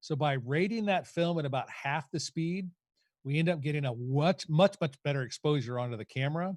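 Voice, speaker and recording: This man has a normal speaking voice, fairly high in pitch, with ordinary pitch variation. He talks at a fairly quick pace on a very clean recording with a silent background. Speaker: photography educator. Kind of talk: lecture.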